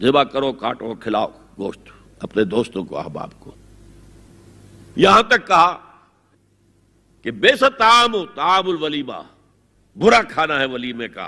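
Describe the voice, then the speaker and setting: A bright, sharp voice with vocal fry swings very widely in pitch and moves through big shifts in loudness. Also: man, fairly high pitch for a man. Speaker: Islamic scholar giving a sermon. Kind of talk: religious lecture. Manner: emphatic, forceful, repetitive for emphasis.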